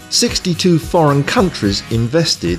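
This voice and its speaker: There is music in the background. Over it, a man speaks at a moderate pace. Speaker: voice actor. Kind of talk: corporate narration.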